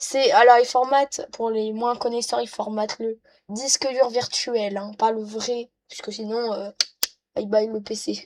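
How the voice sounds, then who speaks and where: A woman talks at a fairly slow pace with a fairly high pitch. Her intonation is monotone and flat. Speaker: YouTuber making tech tutorials. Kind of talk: screen-recorded tutorial. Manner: hesitant, many fillers; casual.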